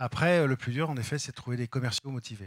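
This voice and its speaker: A man speaks at a medium pitch with ordinary pitch variation, recorded very cleanly against a silent background, with a dry, close sound and no echo. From France, Val d'Oise. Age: 50s. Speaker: company executive. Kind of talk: interview. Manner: halting.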